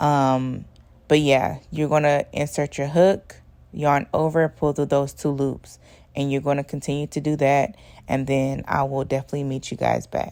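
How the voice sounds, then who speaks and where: With a dark, mellow tone, a woman speaks in a very deep, low pitch at a moderate pace. Her intonation is monotone and flat. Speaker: crochet YouTuber. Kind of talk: tutorial. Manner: casual with fillers.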